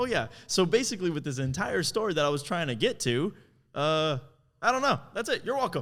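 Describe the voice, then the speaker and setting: A loud, animated man at a fairly quick pace, his fairly high pitch swinging very widely, on a very clean recording with a silent background. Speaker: podcast co-host, videographer. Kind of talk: casual chat.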